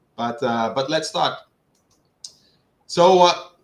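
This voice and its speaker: With a Dutch accent, a man speaks using ordinary pitch variation. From Netherlands. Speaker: HVAC engineering expert. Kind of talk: technical presentation. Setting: online livestream.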